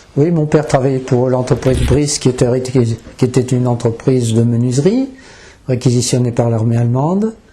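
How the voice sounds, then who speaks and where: A man at a medium pitch keeps a moderate pace, very even loudness and fairly even intonation, with noticeable background noise. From northern France. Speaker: eyewitness. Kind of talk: interview testimony.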